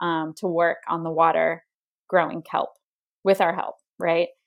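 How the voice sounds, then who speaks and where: On a very clean recording with a silent background, a woman with a normal speaking voice talks at a moderate pace and a fairly low pitch. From Maine, US (coastal). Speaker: company marketing executive. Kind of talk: interview conversation.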